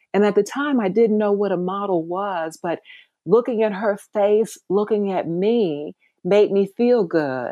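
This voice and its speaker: This woman has an unremarkable speaking voice, medium in pitch, with ordinary pitch variation. She talks at a fairly slow pace against a quiet background. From US South, rural Mississippi. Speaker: life coach. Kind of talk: interview.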